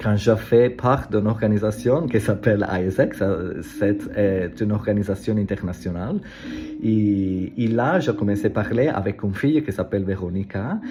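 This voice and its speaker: Over noticeable background noise, a man with an Italian accent talks at a moderate pace, his pitch fairly low with ordinary variation. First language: Italian (speaking French). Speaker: language learner vlogger. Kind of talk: casual vlog monologue. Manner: halting, many hesitations and repetitions.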